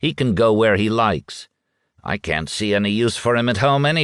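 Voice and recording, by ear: Someone is reading aloud in a natural voice. The pitch variation is ordinary, and the background is quiet.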